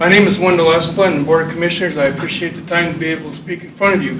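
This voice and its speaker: Over noticeable background noise and audible room echo, the speech rushes along at a very fast pace in a flat monotone. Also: man. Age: 60s. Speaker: retired civil servant. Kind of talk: public comment. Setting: county commission meeting.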